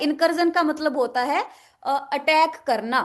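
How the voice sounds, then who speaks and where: A woman speaks at an extremely high pitch. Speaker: vocabulary teacher. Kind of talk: online lecture.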